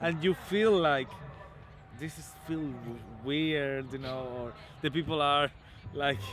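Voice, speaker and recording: A man with a Latin American accent speaks at a very slow pace, with long, frequent pauses. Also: fairly high pitch for a man, ordinary pitch variation, big swings in loudness. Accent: Latin American accent, clearly non-British. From Nicaragua. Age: 20s. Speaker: guitarist. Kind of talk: casual interview. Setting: outdoor festival. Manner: halting.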